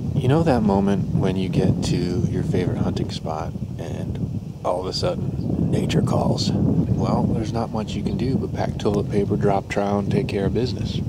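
Loud background noise surrounds a man speaking at a fairly quick pace, with a dry sound and no echo. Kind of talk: casual vlog chat. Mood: jokey, relaxed. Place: forest. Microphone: phone near.

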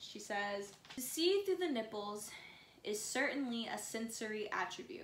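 Lively intonation over plain reading aloud.

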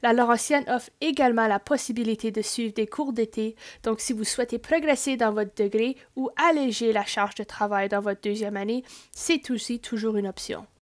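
In an Ontario French accent, a woman speaks at a fairly high pitch and moderate pace. Her pitch variation is ordinary, and the recording is very clean with a silent background. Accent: Franco-Ontarian French. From Northern Ontario, Greater Sudbury. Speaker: university liaison officer. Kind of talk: scripted presentation.

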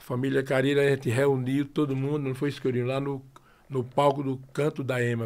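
A man with a Sergipe accent at a fairly quick pace, with monotone, flat intonation. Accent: Sergipe northeastern Brazilian Portuguese. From interior of Sergipe, northeastern Brazil. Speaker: forró singer and accordionist; guest. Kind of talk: casual interview chat. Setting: studio, live-streamed podcast. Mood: relaxed storytelling. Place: studio. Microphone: studio mic.

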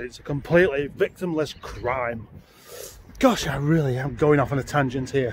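A man talks at a moderate pace. The sound is dry with no echo, and there is light background noise. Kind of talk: casual vlog chat. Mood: joking, rambling. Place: street. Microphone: phone near.

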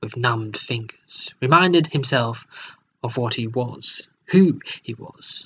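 This is plain reading aloud with lively intonation against a quiet background.

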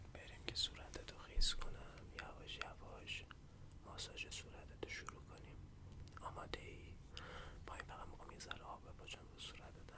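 Moderately paced talk against noticeable background noise. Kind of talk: ASMR face massage roleplay.

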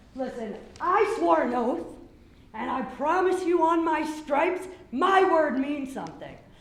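With an American accent, a man speaks at a moderate pace in an extremely high pitch. His pitch varies in an ordinary way, and room echo is audible. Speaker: retired Marine and business owner. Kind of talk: public hearing comment. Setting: public hearing room with microphone.

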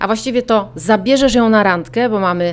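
Speaking fairly slowly, a woman lets her pitch swing very widely up and down. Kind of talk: interview answer. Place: home room. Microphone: lapel.

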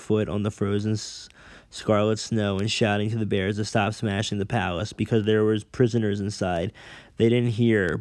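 A natural voice carries the words. They are being read aloud.

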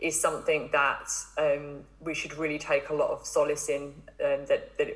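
With music playing behind her, a woman speaks at a moderate pace in an English accent. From England. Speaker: marine biologist. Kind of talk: interview.

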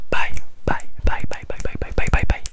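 A soft-spoken man whispers at a moderate pace. The sound is dry with no echo, and there is noticeable background noise. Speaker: ASMR creator. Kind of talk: whispered ASMR talk. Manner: repeated soft whispered goodbyes. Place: home room. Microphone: studio mic.

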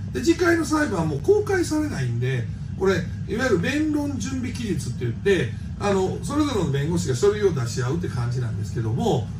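Music plays in the background while a man speaks. He keeps a fairly quick pace. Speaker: party leader commenting. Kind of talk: political commentary monologue. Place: home room. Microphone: phone near.

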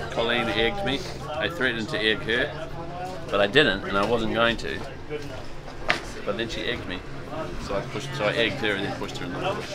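A man talks at a very fast pace over loud background noise. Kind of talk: casual vlog chat. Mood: joking, amused. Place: boat.

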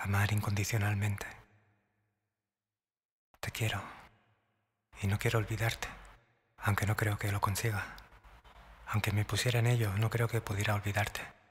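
A man's somewhat breathy, fairly low voice, monotone and flat, with long, frequent pauses. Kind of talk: romantic whispered ASMR monologue. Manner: soft, intimate, slow.

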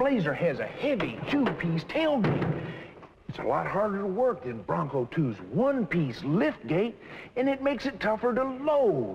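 A man speaking at a fairly slow pace over light background noise. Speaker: car salesman character. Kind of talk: scripted sales dialogue. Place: shop.

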